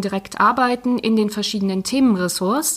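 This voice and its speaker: A woman with an ordinary speaking voice talks at a moderate pace, her fairly high pitch moving with ordinary variation. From East Belgium (German-speaking Community), early childhood near Cologne. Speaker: head of a sport and politics network office. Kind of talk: interview.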